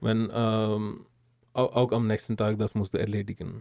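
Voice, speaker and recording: Recorded with a dry, close sound with no echo, the man has a medium pitch and a dark, mellow tone. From India. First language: not German (Indian) (speaking German). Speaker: engineering graduate. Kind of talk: interview. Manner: halting.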